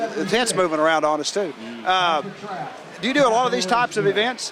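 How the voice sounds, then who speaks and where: Over noticeable background noise and audible room echo, a man with a high voice talks at a fairly quick pace with ordinary pitch variation. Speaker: racing show host. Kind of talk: interview. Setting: outdoors.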